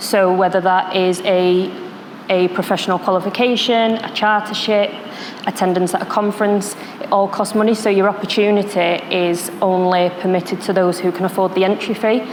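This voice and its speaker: A woman with a Manchester accent, medium-pitched and monotone, at a moderate pace over noticeable background noise. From northern England, Manchester. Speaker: security professional, panelist. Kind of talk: panel discussion.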